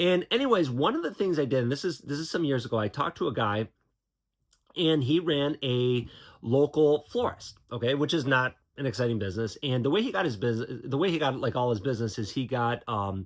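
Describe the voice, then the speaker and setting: The intonation is lively. A man delivers it at a fairly quick pace. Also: medium pitch for a man. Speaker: YouTuber and computer supply business owner. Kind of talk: casual vlog monologue. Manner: fast; halting, many fillers and repeats.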